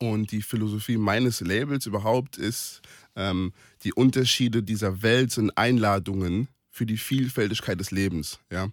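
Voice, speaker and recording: At a moderate pace, a man with an ordinary speaking voice talks at a fairly low pitch with ordinary pitch variation, on a very clean recording with a silent background. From Palatinate, Germany (Kaiserslautern). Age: 20s. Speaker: sports event organizer. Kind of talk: radio interview.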